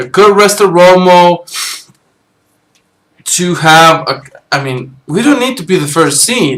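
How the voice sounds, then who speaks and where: A man is speaking. His pitch is high. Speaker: sports fan vlogger. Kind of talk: casual monologue. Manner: halting.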